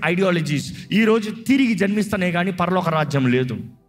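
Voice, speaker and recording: A man's speech shows ordinary pitch variation while music plays in the background. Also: very even loudness. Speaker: pastor, preacher. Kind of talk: sermon, church preaching. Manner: emphatic, exhortative, mixing English words.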